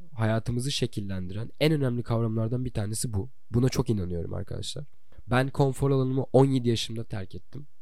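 Speaking at a fairly quick pace, a man with a dark, mellow tone and a medium pitch shows ordinary pitch variation, with audible room echo around him. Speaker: podcast host. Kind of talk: personal podcast monologue.

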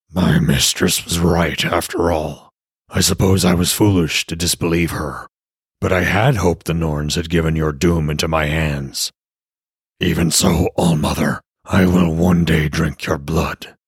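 In a put-on character voice, a man speaks at a moderate pace with a gravelly, very deep, low pitch. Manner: menacing, hateful.

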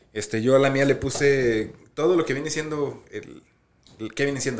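At a moderate pace, a man talks in a fairly high pitch over noticeable background noise. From US, Colorado. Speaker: podcast co-host. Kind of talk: casual chat. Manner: halting.

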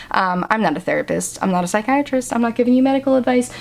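A woman's high, animated voice against noticeable background noise. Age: 20s. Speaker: podcast host. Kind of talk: casual monologue.

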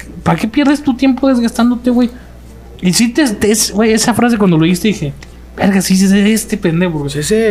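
A man's high-pitched, fairly quick speech with lively intonation, music in the background. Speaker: podcast host. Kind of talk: casual chat. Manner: announcer-like delivery.

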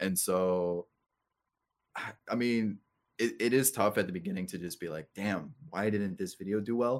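Here is a man with a plain, everyday voice. His pitch is fairly low, with ordinary variation and a moderate pace. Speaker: gaming content creator. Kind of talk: casual chat.

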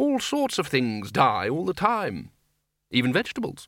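On a very clean recording with a silent background, a man does a put-on character voice that is fairly high and bright, sharp in tone, moving slowly-ish with very wide pitch swings.

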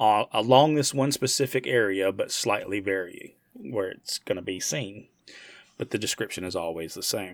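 Lively intonation marks a man's fairly low-pitched voice, set in an American accent. He has an unremarkable speaking voice and talks at a moderate pace. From United States. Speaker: podcast host. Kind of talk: casual chat.

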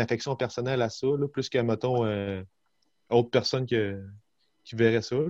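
Against a quiet background, a man's medium-pitched voice shows ordinary pitch variation in a dry, close sound with no echo. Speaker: podcast co-host. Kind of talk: casual chat. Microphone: connection glitch.

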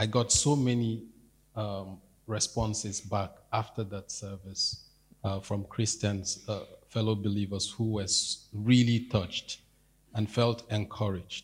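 Somewhat breathy and fairly low-pitched, a man talks at a fairly slow pace in a monotone, flat delivery. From Nigeria. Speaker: church member. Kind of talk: testimony. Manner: halting.

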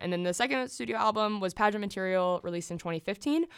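A woman talks at a very fast pace with an American accent. Her pitch is medium, and the recording is very clean with a silent background. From US South. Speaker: podcast co-host. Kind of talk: casual chat.

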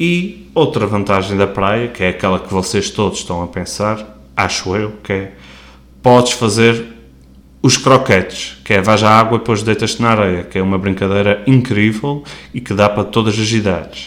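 Moderate speed and ordinary pitch movement in a man's fairly low voice. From Azores, Terceira island. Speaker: podcast host. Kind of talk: casual solo monologue. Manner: casual, slightly halting.

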